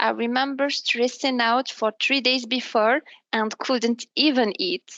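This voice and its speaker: A woman speaks with an Arabic accent at a high pitch. She moves at a fairly slow pace with ordinary pitch variation. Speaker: business development manager. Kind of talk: interview. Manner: halting, with self-repairs.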